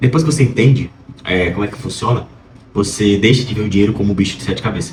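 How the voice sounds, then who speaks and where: A man talks very fast in a fairly low pitch with ordinary pitch variation. Audible room echo and noticeable background noise fill the recording. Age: 20s. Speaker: vlogger, pre-med student. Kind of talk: casual vlog monologue. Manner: hesitant, many fillers.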